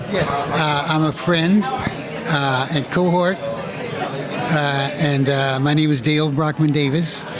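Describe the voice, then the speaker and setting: With audible room echo and crowd noise behind him, a man speaks very slowly with hardly any pauses, very even loudness, a fairly high pitch and fairly even intonation. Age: 80s+. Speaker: assemblage artist. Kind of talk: casual interview. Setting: gallery opening reception.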